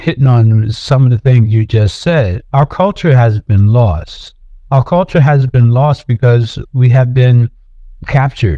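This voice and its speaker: Speaking at a fairly slow pace, a man with an American accent has a dark, mellow tone, a somewhat breathy quality and a medium pitch. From US Northeast, Philadelphia. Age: 70s. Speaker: artist. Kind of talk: interview. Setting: podcast. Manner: halting, with repetitions.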